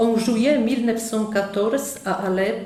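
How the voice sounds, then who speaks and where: A woman with a Polish accent speaks very slowly with fairly even intonation, amid noticeable background noise and audible room echo. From Poland. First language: Polish (speaking French). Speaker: nun, missionary. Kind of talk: conference talk. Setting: conference hall with audience.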